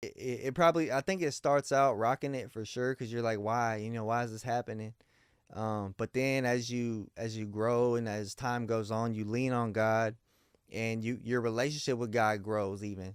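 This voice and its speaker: A man with an American accent speaks in a normal speaking voice at a moderate pace, his medium pitch and fairly even intonation captured in a very clean recording with a silent background and a dry, close sound with no echo. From Miami, Florida. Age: 30s. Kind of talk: casual interview.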